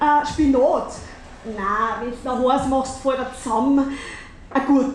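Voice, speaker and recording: A woman's high voice in a Bavarian accent, very slow with long, frequent pauses and fairly even intonation, over noticeable background noise. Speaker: cabaret artist. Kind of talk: cabaret stage performance. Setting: live stage with audience.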